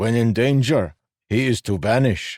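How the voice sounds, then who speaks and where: In a put-on character voice, a man speaks at a medium pitch. His pace is moderate, and his pitch varies in an ordinary way. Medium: read story.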